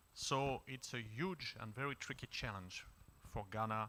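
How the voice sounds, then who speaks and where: A man's fairly low-pitched voice with a bright, sharp tone, a French accent, ordinary pitch variation, and a fairly slow pace. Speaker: diplomat. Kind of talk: panel discussion contribution. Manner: formal.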